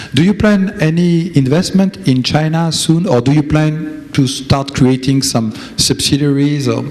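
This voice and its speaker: A man with a French accent speaks at a moderate pace with fairly high pitch and ordinary pitch variation. Noticeable background noise runs underneath. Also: very even loudness. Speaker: conference president and interviewer. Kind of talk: conference interview. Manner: halting.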